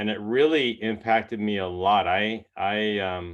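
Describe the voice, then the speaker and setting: Here a man talks with ordinary pitch variation. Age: 60s. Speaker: health product distributor. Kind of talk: testimony.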